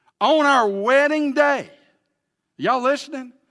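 A man's raised, projected voice with an Alabama accent and ordinary pitch variation, on a very clean recording with a silent background. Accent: Southern US (Alabama). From US South, Alabama. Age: 60s. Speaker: pastor. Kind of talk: sermon. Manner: animated.

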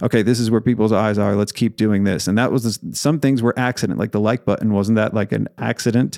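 A man's dark, mellow tone at a fairly low pitch and fairly quick pace, in a dry, close sound with no echo. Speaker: accounting firm owner and podcaster. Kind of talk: casual interview chat. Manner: talkative, energetic, animated.

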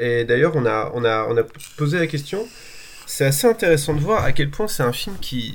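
Against noticeable background noise, a man with a fairly high pitch talks at a moderate pace, his voice making very wide pitch swings. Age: 40s. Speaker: film podcast co-host. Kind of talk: casual chat. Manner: halting.

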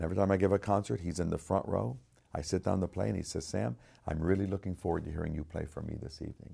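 Speaking very fast with an American accent, a man uses a very deep, low pitch with ordinary variation, vocal fry and a dark, mellow tone. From United States. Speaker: concert pianist. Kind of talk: testimony. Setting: studio.

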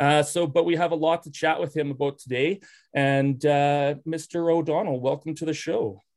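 Fairly high-pitched male voice, a normal speaking voice, moderately paced and with fairly even intonation. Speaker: podcast co-host. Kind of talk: casual interview.

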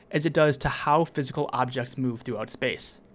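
With a fairly high pitch, this man has a plain, everyday voice. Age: 20s. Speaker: writer reading own essays as podcast. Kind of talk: scripted narration. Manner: measured, read-aloud delivery.

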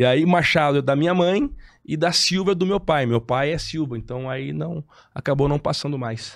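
A man with fairly high pitch and an ordinary speaking voice talks at a moderate pace with ordinary pitch variation on a very clean recording with a silent background. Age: 30s. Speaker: federal deputy, politician. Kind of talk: casual chat.

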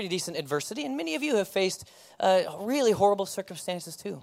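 Over a very clean recording with a silent background, a man speaks at a very fast pace with a high pitch and lively intonation. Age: 30s. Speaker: pastor. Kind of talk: sermon. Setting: church.

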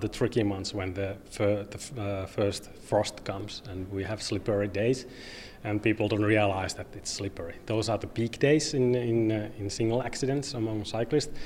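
With a Finnish accent, a man talks at a moderate pace and medium pitch. His intonation stays fairly even. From Finland, Oulu. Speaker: cycling advocate. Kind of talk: interview. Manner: halting.

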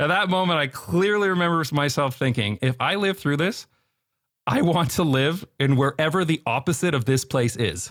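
A man with a plain, everyday voice and a Canadian accent, lively intonation at a moderate pace, on a very clean recording with a silent background. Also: fairly high pitch for a man. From Canada, London, Ontario. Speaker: YouTube creator. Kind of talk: interview conversation.

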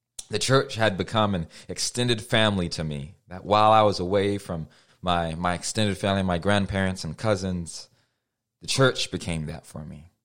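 A very deep, low-pitched man with an American accent, at a moderate pace, with ordinary pitch variation and big swings in loudness, on a very clean recording with a silent background. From US Midwest (Cedar Rapids, Iowa). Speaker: preacher. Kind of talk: sermon.

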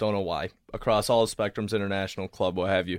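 A man's fairly low voice at a fairly quick pace, in a dry, close sound with no echo. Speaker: student soccer club communications director. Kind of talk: casual interview.

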